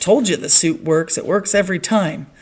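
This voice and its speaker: A woman uses a put-on character voice that sounds raspy. She talks at a moderate pace and a medium pitch. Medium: read story. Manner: earnest, literal.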